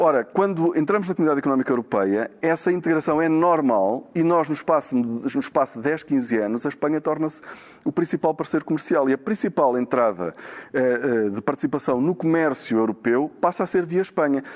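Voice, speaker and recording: Talking at a fairly quick pace, a man with a fairly high pitch uses lively intonation while keeping his loudness very even. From Portugal, Braga (Minho). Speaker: economist, professor. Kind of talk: interview. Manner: halting, with many repetitions.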